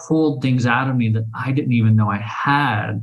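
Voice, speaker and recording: Speech comes at a moderate pace. There is a somewhat breathy quality to it. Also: man. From Oklahoma City, Oklahoma. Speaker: author and traveler. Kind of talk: casual interview chat.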